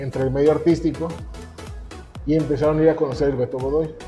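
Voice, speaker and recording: Faint music plays in the background as a man talks with fairly even intonation. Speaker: guest. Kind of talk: interview answer. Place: cafe. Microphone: lapel.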